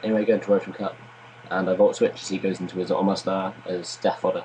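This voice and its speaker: This is a man speaking. His voice is quiet. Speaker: gaming commentator. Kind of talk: gameplay commentary. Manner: low-key.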